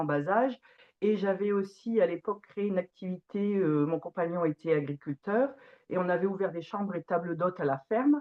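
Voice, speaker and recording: A woman speaks with ordinary pitch variation. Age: 40s. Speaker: organic farmer. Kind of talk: testimony. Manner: hesitant, many fillers.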